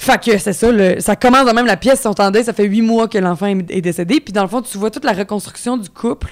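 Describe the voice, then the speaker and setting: In a Quebec accent, a woman with a medium-pitched voice talks at a fairly quick pace with ordinary pitch variation. The recording is very clean, with a silent background. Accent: Québécois French. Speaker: actress. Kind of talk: casual chat.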